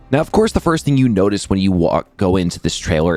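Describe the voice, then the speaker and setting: A man speaks quietly. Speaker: gaming YouTuber. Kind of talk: video commentary. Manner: kept quiet.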